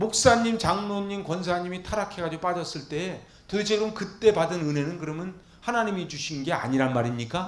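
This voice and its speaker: Talking at a fairly quick pace with hardly any pauses, a high-pitched man sounds animated, his intonation lively and his loudness swinging widely. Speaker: pastor. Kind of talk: Bible lecture sermon. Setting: church. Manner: fast.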